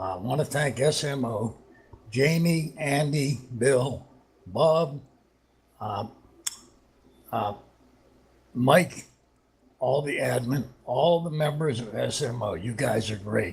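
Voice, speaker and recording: Somewhat breathy, a man speaks at a very slow pace in a medium pitch, with ordinary pitch variation and long, frequent pauses. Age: 70s. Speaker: sim racing driver. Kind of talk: post-race interview.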